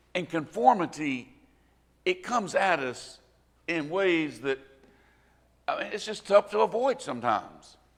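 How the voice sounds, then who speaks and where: Talking in a Southern US accent, a man with a high pitch uses very wide pitch swings and big swings in loudness at a fairly slow pace, with long, frequent pauses. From US South, rural Northwest Florida. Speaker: preacher. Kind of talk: sermon. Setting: church.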